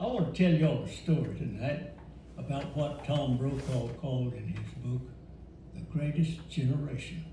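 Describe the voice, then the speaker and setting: There is audible room echo and noticeable background noise. A man with a Louisiana accent talks at a moderate pace. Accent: Southern US (Louisiana). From Louisiana, rural. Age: 80s+. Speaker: elder storyteller. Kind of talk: storytelling.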